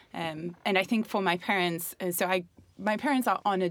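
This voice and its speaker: Vocal fry marks this woman's fairly low-pitched voice as she speaks at a moderate pace. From Germany. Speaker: youth worker. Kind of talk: casual chat.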